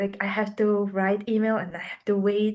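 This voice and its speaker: Over a quiet background, the speaker talks at a fairly slow pace with a non-native accent. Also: woman. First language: not English. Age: young. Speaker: youth climate grant recipient. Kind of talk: interview. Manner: halting.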